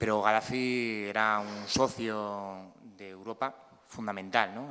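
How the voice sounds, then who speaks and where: A man speaks with a fairly even intonation. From Spain, Cantabria. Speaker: photojournalist. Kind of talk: panel talk. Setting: museum talk with audience. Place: hall. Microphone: podium.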